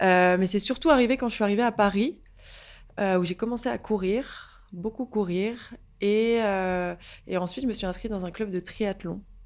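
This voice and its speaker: A woman at a fairly slow pace, medium in pitch with ordinary pitch variation, on a very clean recording with a silent background. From northern France, Picardy (Saint-Quentin). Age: 20s. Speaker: yoga and pilates teacher. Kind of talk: casual interview. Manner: hesitant, many fillers and repetitions.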